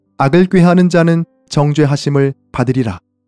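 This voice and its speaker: A man is speaking with music in the background. The sound is dry and close, with no echo. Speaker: pastor. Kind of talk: Bible reading.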